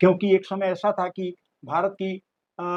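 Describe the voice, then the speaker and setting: The recording is dry and close, with no echo. A man speaks at a high pitch. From Bihar, India. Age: 80s+. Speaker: interviewee, elder social commentator. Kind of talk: interview. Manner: halting with fillers.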